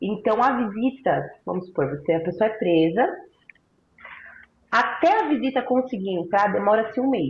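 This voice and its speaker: Somewhat breathy and at a moderate pace, a woman's voice swings very widely in pitch, broken by long, frequent pauses. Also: fairly high pitch for a woman. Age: 20s. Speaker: former prisoner. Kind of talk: interview testimony.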